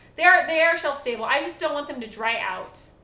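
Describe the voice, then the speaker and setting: Audible echo from the room carries through the recording. A woman talks with lively intonation. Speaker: live streamer. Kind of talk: casual live stream chat. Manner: quiet, hushed.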